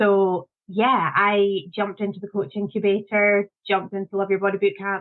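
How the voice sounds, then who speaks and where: Speaking with a Scottish accent, a woman of medium pitch keeps a moderate pace, a monotone, flat intonation and hardly any pauses. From Scotland. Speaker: confidence coach. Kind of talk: interview.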